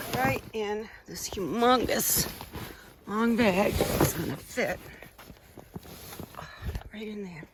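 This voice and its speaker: Fairly high-pitched woman at a very slow pace, lively intonation, big swings in loudness, long and frequent pauses, and noticeable background noise. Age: 70s. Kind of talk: casual talk to camera. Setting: outdoors.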